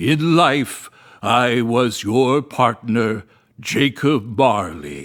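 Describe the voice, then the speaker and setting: A man puts on a character voice at a medium pitch and a very slow pace. The recording is very clean with a silent background. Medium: read story. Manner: grave, solemn, unhurried.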